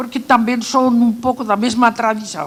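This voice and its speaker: Against noticeable background noise, a woman with a non-native accent speaks fairly slowly at a fairly high pitch. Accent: foreign accent, still noticeable. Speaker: archaeologist. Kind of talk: panel talk. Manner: animated.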